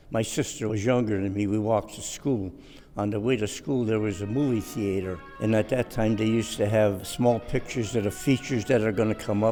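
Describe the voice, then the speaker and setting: Over music in the background, a man with an American accent talks at a fairly quick pace, fairly low in pitch and fairly even in intonation. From Cleveland, Ohio. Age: 80s+. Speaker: retired long-time neighborhood resident. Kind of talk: interview answer, reminiscing.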